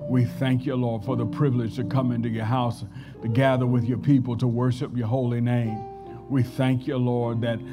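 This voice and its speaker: Clear music plays behind a man who speaks at a moderate pace with monotone, flat intonation. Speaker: preacher. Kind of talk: scripture reading and prayer. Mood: reverent prayer. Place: church. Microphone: podium.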